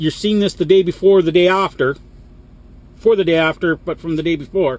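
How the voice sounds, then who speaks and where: Loud and animated, a man with a Canadian accent talks at a moderate pace. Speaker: truck driver vlogger. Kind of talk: vlog rant.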